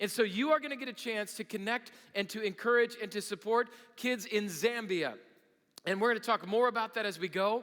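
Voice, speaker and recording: An energetic man speaks in a raised, projected voice at a fairly quick pace. His tone is bright and sharp, his pitch high for a man, with ordinary pitch variation. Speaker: pastor. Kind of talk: sermon.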